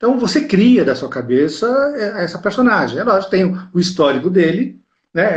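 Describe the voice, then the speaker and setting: This man's voice has a somewhat breathy quality. His delivery sits at a moderate pace. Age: 60s. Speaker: actor. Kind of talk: interview.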